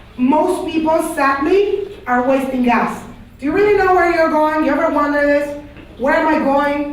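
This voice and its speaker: A woman with a high pitch speaks at a moderate pace in an animated tone, with ordinary pitch variation and very even loudness. Audible room echo and noticeable background noise are present. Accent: Panamanian. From Panama. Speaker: religious studies teacher. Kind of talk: lecture to class.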